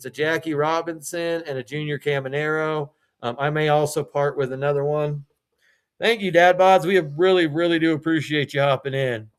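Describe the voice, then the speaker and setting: With a normal speaking voice, a man talks at a moderate pace and fairly high pitch, showing ordinary pitch variation. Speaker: live sales streamer for trading cards. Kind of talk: live selling stream.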